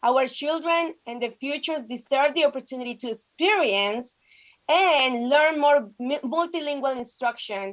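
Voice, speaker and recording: A woman with a Spanish accent and a high pitch talks at a moderate pace, her pitch varying in an ordinary way. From Colombia. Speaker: state legislator. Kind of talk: prepared speech at virtual press conference. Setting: video call.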